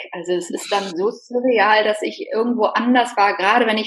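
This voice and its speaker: At a medium pitch, a woman talks through noticeable background noise. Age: 40s. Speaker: podcast guest, single woman. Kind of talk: casual interview chat.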